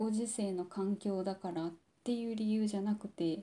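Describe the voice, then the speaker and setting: A woman speaks in a dark, mellow, somewhat breathy voice. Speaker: podcast host. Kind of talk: personal monologue. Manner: deliberately low-energy, subdued delivery; halting, many pauses and fillers.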